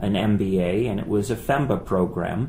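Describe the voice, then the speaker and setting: In a room with audible echo, a man with a fairly low voice talks at a fairly slow pace, his pitch varying in an ordinary way. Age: 40s. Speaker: finance professor. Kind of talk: casual chat.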